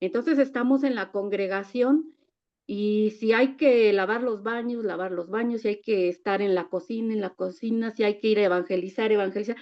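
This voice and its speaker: A woman talks at a moderate pace in an unremarkable speaking voice, her pitch fairly high and its variation ordinary. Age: 60s. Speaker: church member. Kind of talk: testimony.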